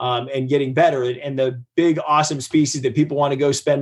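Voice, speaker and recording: A man talks in a normal speaking voice with an American accent. His pitch is medium, his pace fairly quick and his intonation fairly even. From US Midwest, Ohio. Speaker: marine biologist and professor. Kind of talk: interview. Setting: video call.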